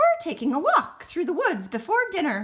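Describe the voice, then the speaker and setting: Squeaky and extremely high, a put-on character voice moves at a moderate pace through very wide pitch swings. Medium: read story.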